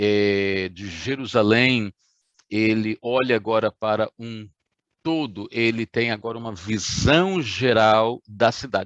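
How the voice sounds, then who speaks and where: A man at medium pitch, talking at a very slow pace, with a dry, close sound and no echo. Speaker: pastor. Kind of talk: sermon. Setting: online livestream.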